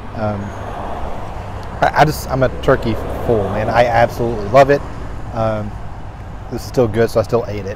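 A man speaks at a moderate pace with ordinary pitch variation, the sound dry with no echo but with noticeable background noise. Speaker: food vlogger. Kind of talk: casual vlog chat. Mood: enthusiastic, relaxed. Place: street. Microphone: phone near.

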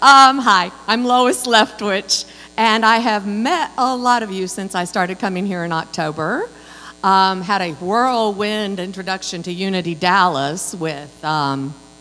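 With a bright, sharp tone, a woman speaks at a fairly slow pace. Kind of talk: welcome announcements. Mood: cheerful, welcoming. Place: church. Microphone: handheld.

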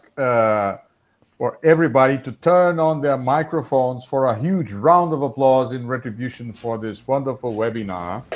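Over a quiet background, a man speaks with a Portuguese accent. His pace is moderate and his pitch variation ordinary. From Brazil. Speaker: physics professor, webinar moderator. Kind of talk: formal moderation. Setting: video call. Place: home room. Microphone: earbuds.

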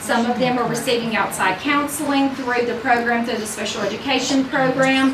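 A high-pitched woman speaks at a moderate pace over noticeable background noise. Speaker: school administrator reporting to school board. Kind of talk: informal spoken report, rambling. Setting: school board meeting. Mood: upbeat, enthusiastic. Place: meeting room.

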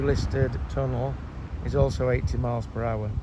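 A man speaks in a dry sound with no echo, with noticeable background noise behind him. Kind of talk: informal spoken guide commentary. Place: open country. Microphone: phone near.

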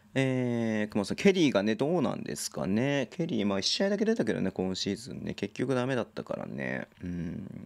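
A man talking at a fairly quick pace, hardly any pauses, very wide pitch swings, and a quiet background. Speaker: basketball league livestreamer; basketball live streamer. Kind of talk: casual live-stream commentary reading chat. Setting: solo live stream. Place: home room. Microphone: studio mic.

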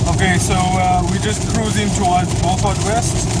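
The speaker talks at a moderate pace. Loud background noise runs underneath. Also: dry sound with no echo. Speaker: road trip vlogger. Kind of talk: casual vlog chat. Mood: relaxed, content. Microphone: phone near.

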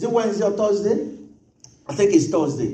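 A man talks against noticeable background noise. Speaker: pastor. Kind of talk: sermon. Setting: church. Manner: fervent, rhythmic, repeating phrases; loud, urgent pleading in prayer.

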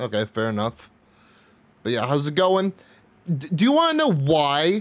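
The man's speech moves at a moderate pace. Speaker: game streamer. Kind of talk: casual stream chat. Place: home room. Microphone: studio mic.

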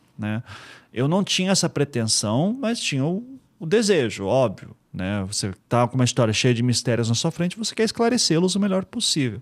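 A man's fairly high voice at a moderate pace, with very wide pitch swings, over a quiet background. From Curitiba, Paraná, Brazil; Paraná, Brazil. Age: 40s. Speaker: podcaster and investigative journalist; podcast guest. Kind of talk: interview conversation. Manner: relaxed. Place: studio. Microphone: studio mic.

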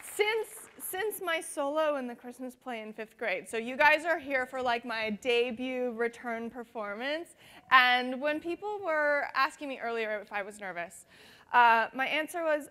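A woman speaks at a fairly slow pace in a raised, projected voice with a bright, sharp tone. Her loudness swings widely. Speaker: conference presenter. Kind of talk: presentation talk. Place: hall.

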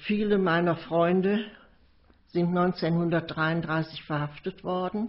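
Very slowly, a woman talks at a fairly low pitch, her intonation fairly even. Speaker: witness recounting memories of the Nazi era. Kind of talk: recorded memoir / oral history recollection.

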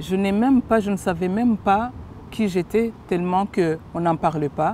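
A woman at a medium pitch with ordinary pitch variation, in a dry sound with no echo and light background noise. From Rwanda. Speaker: witness giving testimony. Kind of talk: testimony in interview. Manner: halting, hesitant. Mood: serious, reflective. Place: garden.

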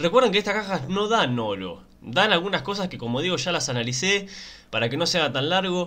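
With a Rioplatense accent, a man talks at a fairly quick pace in a high pitch, his tone animated, bright and sharp and his intonation lively. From Argentina. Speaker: gaming YouTuber. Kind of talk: casual gameplay commentary. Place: home room.

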